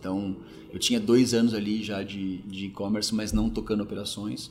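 A man's fairly low, monotone, flat voice at a fairly quick pace, with audible room echo and music in the background. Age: 40s. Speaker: logistics executive. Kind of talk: interview. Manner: hesitant, many filler words.

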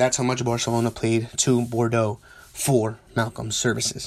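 Mumbling at a medium pitch, a man is heard over noticeable background noise. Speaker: soccer podcast host. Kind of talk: solo podcast monologue. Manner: spontaneous, unscripted.

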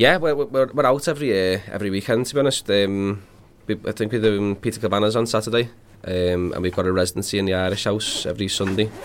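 A man with a Liverpool accent, fairly low-pitched, talking at a very fast pace with ordinary pitch variation. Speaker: singer and guitarist. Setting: studio.

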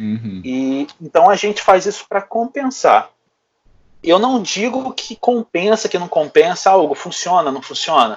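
A man with a high voice speaks fairly slowly, his pitch swinging very widely and his loudness rising and falling sharply. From Brazil, Rio de Janeiro. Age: 30s. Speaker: bodybuilding coach. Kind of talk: casual chat.

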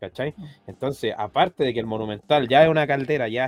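The speaker has a Chilean accent and ordinary pitch variation. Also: man. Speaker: football fan panelist. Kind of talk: casual chat.

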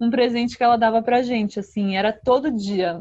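With a strong São Paulo accent, a woman talks at a high pitch with ordinary pitch variation. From São Paulo, Brazil. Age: young. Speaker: singer-songwriter. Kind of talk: interview.

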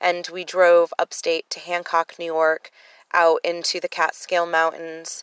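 A woman speaks in a monotone, flat intonation at a fairly low pitch, with a dry, close sound with no echo and a quiet background. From Connecticut, US. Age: 30s. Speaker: podcast host, abuse survivor. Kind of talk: personal testimony monologue. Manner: fast; casual, many filler ums.

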